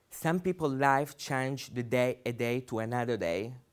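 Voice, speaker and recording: A man with a non-native accent speaks at a fairly slow pace in a medium pitch with ordinary pitch variation. The recording is very clean, with a silent background. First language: not English. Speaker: human rights activist. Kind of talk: public speech.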